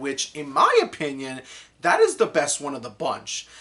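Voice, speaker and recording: A man's fairly high-pitched voice keeps to a moderate pace. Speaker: anime reviewer. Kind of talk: unscripted video review. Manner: halting, many fillers and restarts.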